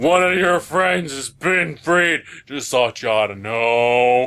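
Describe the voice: Using a put-on character voice, a man speaks at a fairly slow pace with medium pitch and lively intonation.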